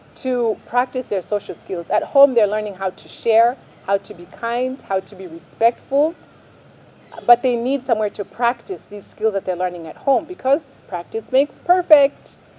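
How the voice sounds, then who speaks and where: A woman with a fairly high voice, dry and close with no echo, over noticeable background noise. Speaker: parenting vlogger. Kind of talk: advice talk to camera.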